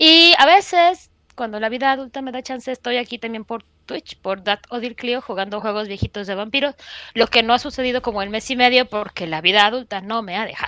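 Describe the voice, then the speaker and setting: Over a very clean recording with a silent background, a woman speaks with a Mexican accent at a fairly high pitch and a fairly quick pace. Her tone is bright and sharp, her intonation lively, and the sound is dry and close with no echo. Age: 40s. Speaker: podcast host. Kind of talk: casual chat.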